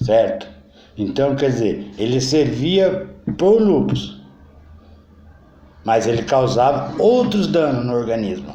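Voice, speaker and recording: Audible room echo rings around this recording. The man in it speaks at a very slow pace. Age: 60s. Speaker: political commentator. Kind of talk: political monologue. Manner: halting.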